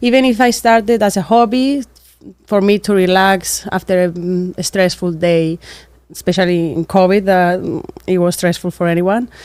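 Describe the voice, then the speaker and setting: A woman with a Cypriot accent speaks at a moderate pace, her medium pitch showing ordinary variation. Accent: Greek Cypriot accent in English. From Cyprus. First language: Greek. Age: 20s. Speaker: architect and small business owner. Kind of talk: interview monologue. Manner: hesitant, with fillers.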